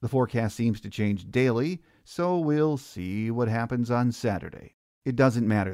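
In an ordinary speaking voice, a man with an American accent talks at a fairly slow pace, his medium pitch showing ordinary variation. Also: very clean recording, silent background. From southeast Michigan, Newport. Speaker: podcast host. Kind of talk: sports podcast interview and scripted segment.

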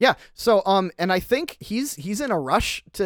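Simply a natural reading voice

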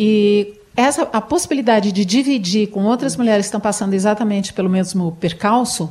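Over noticeable background noise, a woman with a medium pitch and ordinary pitch variation speaks at a fairly quick pace with hardly any pauses. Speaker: radio host. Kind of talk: radio talk show.

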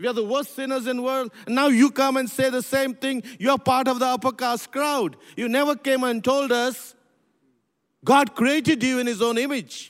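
Very clean and silent in the background, the recording captures a man with an extremely high voice. He keeps a moderate pace and fairly even intonation. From India (Pune). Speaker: church movement leader. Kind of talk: interview.

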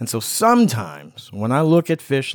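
Here a man speaks at a moderate pace. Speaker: podcast co-host. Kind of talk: casual chat. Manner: emotional.

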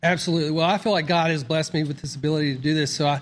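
A man with a Southern US accent talks very fast in a fairly high voice. His intonation stays fairly even over a quiet background. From US South, Mississippi. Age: 50s. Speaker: doctor. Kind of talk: interview. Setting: studio.

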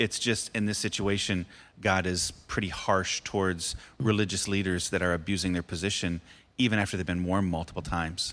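A man with an American accent, a very deep, low pitch, a monotone, flat delivery and a fairly quick pace, on a very clean recording with a silent background. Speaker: podcast host and pastor. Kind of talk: casual devotional chat about Bible. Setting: studio.

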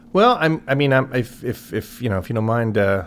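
A man rattles along very fast at a medium pitch. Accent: Chicago. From US Midwest, Chicago area. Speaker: podcast host. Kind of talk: interview.

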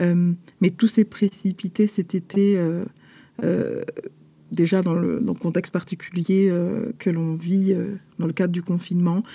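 A woman speaks at a fairly slow pace with a dark, mellow tone and a somewhat breathy quality. Her pitch sits fairly low for a woman, and her intonation stays monotone and flat. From France, Paris. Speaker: publisher and author. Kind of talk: interview. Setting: remote recording. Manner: halting, with frequent hesitations.

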